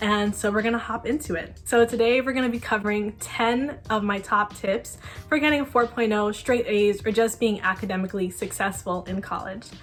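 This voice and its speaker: Music plays in the background as a woman speaks at a fairly high pitch and a fairly quick pace. She keeps her intonation fairly even and hardly pauses. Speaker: college student vlogger. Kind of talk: casual talking-head tutorial. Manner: fast.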